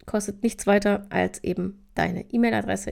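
A woman's voice with vocal fry at a moderate pace. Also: very clean recording, silent background. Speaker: podcast host on time management. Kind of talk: casual solo podcast talk. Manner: casual with frequent fillers.

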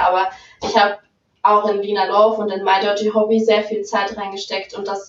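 A woman speaks in a plain, everyday voice at medium pitch, keeping a moderate pace and fairly even intonation. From Saxony-Anhalt, Germany. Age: 20s. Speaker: adult webcam performer. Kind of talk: casual interview.

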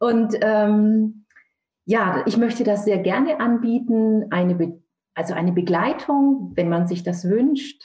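Her tone dark and mellow and somewhat breathy, a woman speaks very slowly at a fairly high pitch, with ordinary pitch variation and very even loudness. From Franconia, Germany (Nürnberg). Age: 50s. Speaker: author and bereaved mother. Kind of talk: interview testimony.

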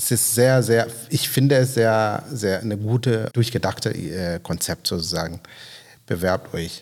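In a very clean recording with a silent background, a man with a non-native accent talks at a medium pitch and a fairly slow pace, using ordinary pitch variation. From Kenya. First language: not German (speaking German). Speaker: podcast host. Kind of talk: casual interview. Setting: on location in a guest house. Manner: halting.

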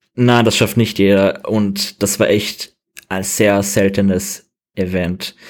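A man speaks at a very slow pace. His fairly low pitch stays monotone, with flat intonation. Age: 20s. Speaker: game designer. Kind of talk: interview.

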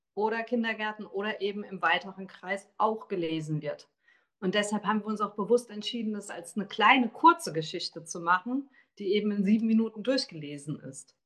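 Here a woman has an unremarkable speaking voice, set at a medium pitch and a moderate pace. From Taunus, Hesse. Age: 40s. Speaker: author. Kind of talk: interview.

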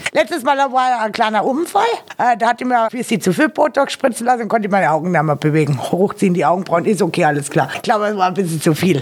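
A woman talks at a very fast pace with very wide pitch swings over noticeable background noise. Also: medium pitch for a woman. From Austria, Carinthia. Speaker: webcam performer and party singer. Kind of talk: casual interview.

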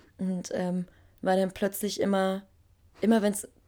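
Moderate pace and medium pitch from a woman, with noticeable background noise. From Berlin, Germany. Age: 20s. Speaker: singer. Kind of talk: interview. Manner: animated.

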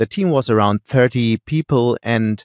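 A man with a German accent and ordinary pitch variation, in a dry, close sound with no echo on a very clean recording with a silent background. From Germany, Hamburg. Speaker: newspaper editor-in-chief. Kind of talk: interview.

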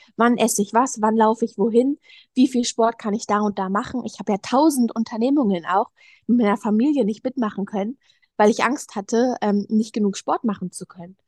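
A woman in a normal speaking voice, fairly high in pitch with ordinary pitch variation, is recorded with a dry, close sound, no echo and a quiet background. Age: young. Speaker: eating disorder recovery guest, yoga teacher. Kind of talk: personal interview, testimony.

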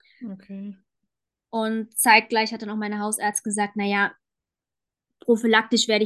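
Over a quiet background, a woman uses an ordinary speaking voice with a fairly high pitch, fairly even intonation and a moderate pace. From Germany, Frankfurt. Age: 20s. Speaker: cancer patient sharing her story. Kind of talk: interview, personal testimony.

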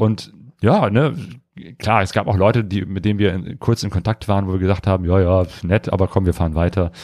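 Talking at a fairly quick pace, a man with a fairly low pitch keeps his intonation fairly even. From western Germany, near Cologne. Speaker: travel podcast host, motorcycle traveller. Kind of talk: casual chat. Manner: hesitant, many fillers.

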